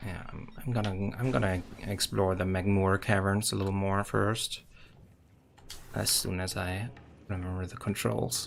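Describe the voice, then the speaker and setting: This man talks at a fairly slow pace with long, frequent pauses, in a German accent. His pitch is fairly low, with ordinary variation. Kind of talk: casual game streaming commentary.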